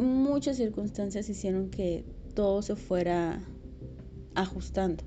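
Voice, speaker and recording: Very slow speech from a woman, broken by long, frequent pauses, with audible room echo. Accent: Mexican. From Mexico, provinces outside Mexico City. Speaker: podcast host. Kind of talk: personal monologue.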